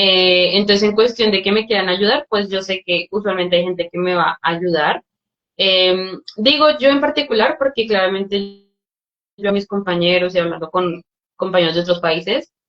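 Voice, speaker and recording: At a moderate pace, a woman of medium pitch talks in an unremarkable speaking voice. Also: ordinary pitch variation. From Colombia. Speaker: scholarship recipient, student. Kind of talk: webinar Q&A answers.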